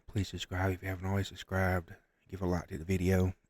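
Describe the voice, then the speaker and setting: A man's very deep, low, somewhat breathy voice at a fairly quick pace, with a dry, close sound with no echo on a very clean recording with a silent background. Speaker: gaming streamer. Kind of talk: casual gaming commentary. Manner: quiet, trying not to wake others.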